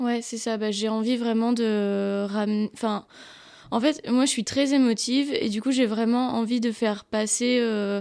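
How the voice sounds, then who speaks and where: The woman's intonation stays fairly even. Her recording is very clean, with nothing heard behind her. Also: fairly slow pace. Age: 20s. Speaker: photographer. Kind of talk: casual interview. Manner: halting.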